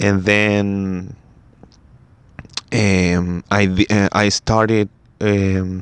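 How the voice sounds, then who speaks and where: A man with a Spanish accent speaks at a very slow pace in a monotone, flat intonation, pausing long and often, in a dry, close sound with no echo. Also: fairly low pitch for a man. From Chile. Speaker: basketball podcaster. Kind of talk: casual solo podcast talk. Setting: first podcast in English, solo recording. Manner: halting, many fillers and restarts.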